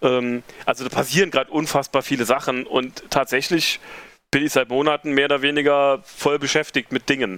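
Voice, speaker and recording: A man speaks at a fairly quick pace with fairly even intonation. The sound is dry and close, with no echo. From Germany, Saarland (rural northern Saarland). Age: 40s. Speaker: event organiser. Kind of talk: casual interview.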